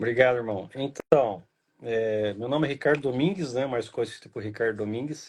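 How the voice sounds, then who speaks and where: This man talks at a moderate pace with an interior São Paulo accent and ordinary pitch variation. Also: medium pitch for a man. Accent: caipira interior São Paulo. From Brazil, interior of São Paulo state. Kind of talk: casual chat.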